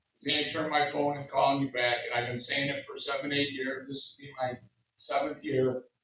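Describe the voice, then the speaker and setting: The man's voice sits at a fairly high pitch. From US Northeast, Utica, New York. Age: 60s. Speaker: city councilman. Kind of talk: public speech. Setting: community meeting with audience. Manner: casual, halting.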